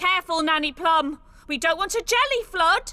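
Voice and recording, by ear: A cartoonish character voice, female-sounding and pitched extremely high, carries the clip. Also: moderate pace.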